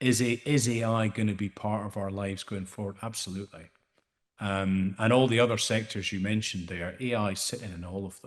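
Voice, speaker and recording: A man with a Scottish accent speaks at a fairly low pitch, his intonation fairly even while his loudness swings widely. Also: fairly quick pace. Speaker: AI startup founder. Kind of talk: panel discussion. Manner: hesitant, many repeated words.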